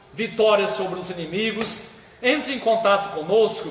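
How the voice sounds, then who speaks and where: At a fairly slow pace, a man speaks at high pitch with ordinary pitch variation. Noticeable background noise and audible room echo accompany him. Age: 60s. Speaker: pastor and seminary head. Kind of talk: live stream talk, promotional sermon. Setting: Facebook live stream.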